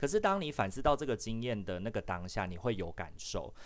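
This man has a Taiwanese accent and a medium pitch. He talks at a moderate pace. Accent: Taiwanese Mandarin. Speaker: social worker and podcast host. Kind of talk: casual chat. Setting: online live session.

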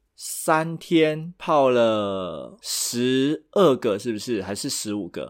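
On a very clean recording with a silent background, a man speaks at medium pitch with very wide pitch swings. His pace is very slow, yet he takes hardly any pauses. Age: middle-aged. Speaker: podcast co-host. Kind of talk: casual chat.

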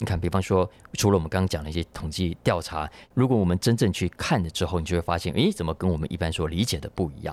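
In a very clean recording with a silent background, a man with a very deep, low pitch speaks at a very fast pace with ordinary pitch variation. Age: old. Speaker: podcast host; book publisher. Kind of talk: solo podcast commentary on news. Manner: conversational, many filler particles.

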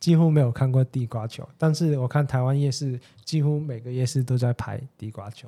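With a Cantonese accent, the speaker talks at a fairly quick pace in a dark, mellow tone with fairly even intonation. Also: man, medium pitch for a man. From Hong Kong. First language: Cantonese (speaking Chinese). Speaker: podcast guest. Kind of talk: casual chat.

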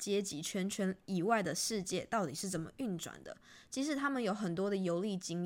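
In a natural voice, a passage is read aloud.

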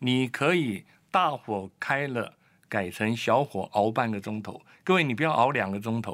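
A man speaks in an unremarkable speaking voice at medium pitch with lively intonation and a fairly slow pace. The recording is very clean, with a silent background. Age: 60s. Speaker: immunology researcher and doctor. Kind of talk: expert interview.

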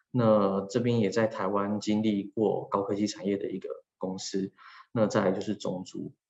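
A man's voice sits fairly low in pitch. He speaks at a moderate pace with monotone, flat intonation. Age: 30s. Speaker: HR manager working abroad. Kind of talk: personal talk. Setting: video call.

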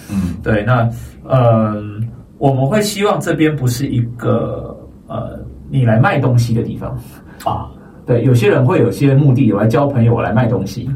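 Over noticeable background noise and audible room echo, a man speaks at a moderate pace with lively intonation and long, frequent pauses. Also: medium pitch for a man. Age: 30s. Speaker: teacher trainer. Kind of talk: casual chat.

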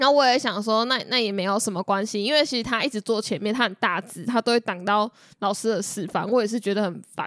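A woman with a Taiwanese accent speaks at a very fast pace, her pitch fairly high with ordinary variation. The sound is dry and close with no echo, and the recording is very clean with a silent background. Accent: Taiwanese Mandarin. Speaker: podcast co-host. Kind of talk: casual chat.

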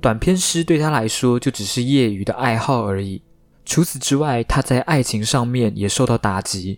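Speaking with a Taiwanese accent, a man talks at a moderate pace and medium pitch with ordinary pitch variation. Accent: Taiwanese Mandarin. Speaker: podcast host. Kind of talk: casual storytelling monologue.

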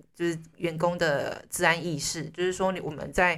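On a very clean recording with a silent background, a woman talks at a moderate pace in a fairly low, flat monotone. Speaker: podcast host. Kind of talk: casual interview.

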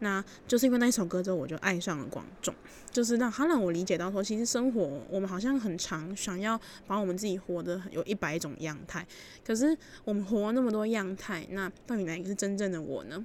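With a Taiwanese accent, a woman talks at a fairly quick pace in a medium pitch with ordinary pitch variation. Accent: Taiwanese Mandarin. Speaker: student radio DJ. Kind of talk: music radio show.

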